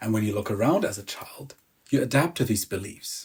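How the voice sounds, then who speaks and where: Speaking in a German accent, a man sounds somewhat breathy. His pitch variation is ordinary. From Germany. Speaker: emotional release coach. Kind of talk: self-help talk.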